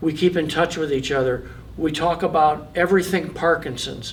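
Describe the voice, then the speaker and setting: Audible room echo surrounds a man's fairly high, monotone voice with flat intonation. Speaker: person with Parkinson's, boxing coach. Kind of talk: testimony. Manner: halting, many repetitions.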